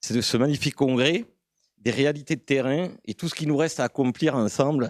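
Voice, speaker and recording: Speaking in a rural southern French accent, a man with medium pitch and ordinary pitch variation talks at a fairly quick pace, the sound dry and close with no echo. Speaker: conference audience member. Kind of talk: conference Q&A comment. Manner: hesitant.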